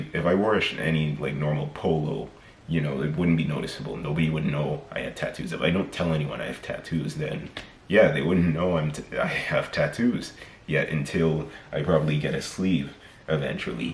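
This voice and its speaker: Over noticeable background noise and audible room echo, a man with an American accent speaks at a fairly quick pace in a very deep, low voice with ordinary pitch variation. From mixed: America, Trinidad and England. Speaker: vlogger. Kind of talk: casual monologue vlog. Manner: unscripted, halting with self-corrections.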